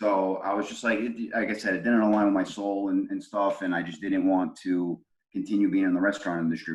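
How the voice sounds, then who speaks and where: A man with a New York accent, talking at a very fast pace with hardly any pauses. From Brooklyn, New York. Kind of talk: casual interview answer. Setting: video call. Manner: casual, profane.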